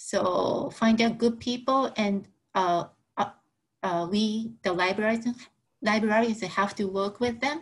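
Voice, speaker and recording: With a Japanese accent, a woman speaks very slowly in a somewhat breathy, fairly high voice with fairly even intonation. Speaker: librarian. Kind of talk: Q&A answer. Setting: video call. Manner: halting, many fillers. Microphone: video call.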